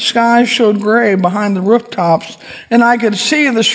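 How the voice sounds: The voice is a natural reading voice.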